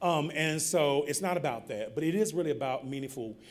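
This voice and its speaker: A fairly high-pitched man with a Southern accent at a moderate pace, ordinary pitch variation and audible room echo. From US South, North Carolina. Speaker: keynote speaker, public health nonprofit director. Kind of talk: conference keynote speech. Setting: conference podium with audience. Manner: animated storytelling, informal.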